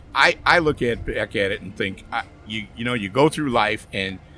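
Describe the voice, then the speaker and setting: A man at a moderate pace with an American accent, a bright, sharp tone, lively intonation and a medium pitch. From Chicago area, US Midwest. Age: 60s. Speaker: barbecue pitmaster, podcast guest. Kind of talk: casual interview chat. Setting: outdoors at horse races event.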